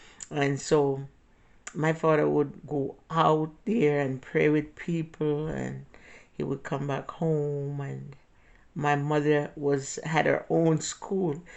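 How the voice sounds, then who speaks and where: A woman's very deep, low voice moves at a very slow pace in a monotone, flat intonation. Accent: strong Jamaican. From Jamaica. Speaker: vlogger. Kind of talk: personal storytelling. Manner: halting.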